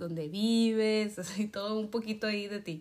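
A woman with a plain, everyday voice, fairly high in pitch, at a fairly slow pace and with ordinary pitch variation. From Mexico. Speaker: podcast host. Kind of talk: interview.

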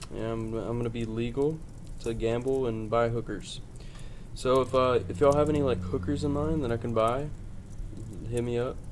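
Long, frequent pauses break up a man's medium-pitched speech at a moderate pace, with audible room echo around him. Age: 20s. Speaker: podcast co-host. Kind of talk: casual chat. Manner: animated.

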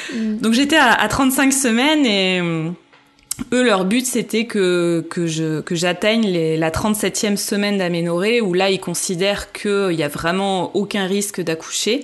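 A woman with a medium-pitched voice talks at a very slow pace, her loudness very even and her pitch varying in an ordinary way, over noticeable background noise. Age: 30s. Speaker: mother sharing birth story. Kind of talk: testimony. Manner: hesitant, many fillers.

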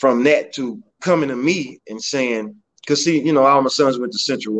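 A man with an American accent speaks at a fairly quick pace and medium pitch in an unremarkable speaking voice. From Beaumont, Texas (North End). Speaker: mayoral candidate. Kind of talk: casual interview.

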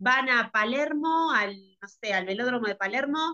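Very wide pitch swings shape this bright, sharp voice. It moves at a fairly slow pace. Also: woman. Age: 30s. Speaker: skating coach. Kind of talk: interview conversation. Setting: video call.

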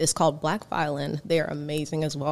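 The voice belongs to a woman. Her pitch is very deep and low. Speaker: singer and violinist. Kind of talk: casual interview chat.

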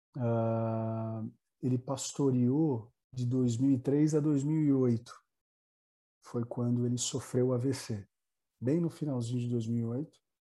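At a very slow pace with long, frequent pauses, a man speaks in a dark, mellow tone at medium pitch with fairly even intonation. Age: 30s. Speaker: pastor. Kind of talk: casual chat.

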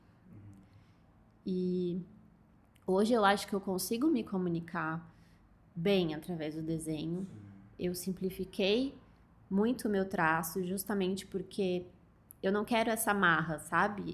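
Speaking at a fairly slow pace with long, frequent pauses, a woman uses medium pitch, ordinary pitch variation and big swings in loudness. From interior of São Paulo state, Brazil. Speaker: illustrator. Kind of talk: interview.

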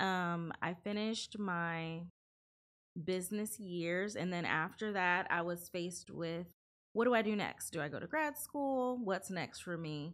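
In an American accent, an unremarkable speaking voice moves at a fairly slow pace with ordinary pitch variation. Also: woman, fairly low pitch for a woman. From California and Ohio. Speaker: lawyer. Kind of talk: interview.

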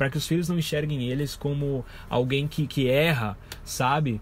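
A man talks at a moderate pace in a fairly high, somewhat breathy voice. His pitch varies in an ordinary way. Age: 20s. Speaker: podcast host. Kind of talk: solo casual monologue. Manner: informal, rambling with fillers.

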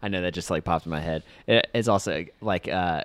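This man talks at a very fast pace in a very deep, low voice with vocal fry and ordinary pitch variation. The recording is very clean and the background silent. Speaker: podcast host, photographer. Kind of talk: casual chat, interview. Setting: sitting on a porch, cold weather.

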